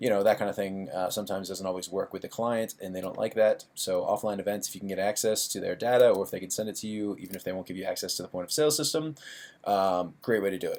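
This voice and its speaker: On a very clean recording with a silent background, a man speaks at a very fast pace and a fairly low pitch with ordinary pitch variation. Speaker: online marketing tutor. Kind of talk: screen-share tutorial. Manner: casual, with many fillers.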